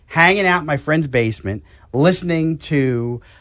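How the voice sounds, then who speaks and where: A man speaks at a fairly slow pace in an unremarkable speaking voice. The background is quiet. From New York. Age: 60s. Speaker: health talk show host. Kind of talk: casual radio chat.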